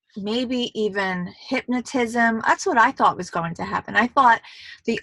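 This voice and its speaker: A woman with a New York accent speaks in an animated, bright, sharp tone at a fairly high pitch, with ordinary pitch variation. The very clean recording has a silent background and a dry, close sound with no echo. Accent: New York (Queens). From New York, Queens. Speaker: movie reviewer. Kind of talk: casual video review.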